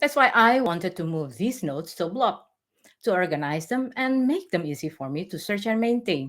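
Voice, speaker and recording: A woman with a non-native accent speaks at a moderate pace, her pitch swinging very widely. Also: medium pitch for a woman. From Indonesia. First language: not English. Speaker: technical blogger and conference speaker. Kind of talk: conference talk. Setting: virtual online event.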